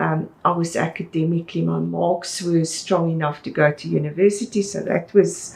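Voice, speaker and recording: Over noticeable background noise, a woman talks at a moderate pace with hardly any pauses, using a fairly low pitch and fairly even intonation. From South Africa, Eastern Cape. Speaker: interior designer and businesswoman. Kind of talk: interview.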